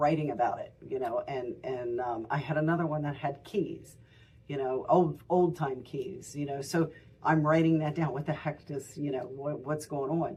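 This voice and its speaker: This woman's voice has a very deep, low pitch and a dark, mellow tone. It sounds somewhat breathy, with ordinary pitch variation. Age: 60s. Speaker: tarot reader and shop owner. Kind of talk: tutorial. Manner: casual, halting with many fillers.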